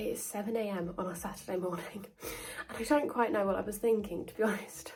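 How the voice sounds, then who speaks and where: A woman with a British accent, medium pitch and ordinary pitch variation, against noticeable background noise. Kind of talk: casual talk to camera.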